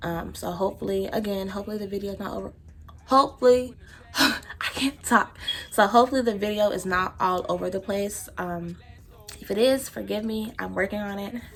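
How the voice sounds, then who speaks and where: Over noticeable background noise, a woman with an American accent talks at a very fast pace in an animated tone, at medium pitch with ordinary pitch variation. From Texas. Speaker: beauty vlogger. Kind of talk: casual chat.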